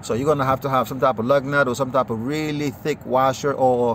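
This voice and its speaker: With noticeable background noise behind him, a man talks at a medium pitch with fairly even intonation. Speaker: mechanic. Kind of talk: tutorial. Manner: fast; casual with many fillers.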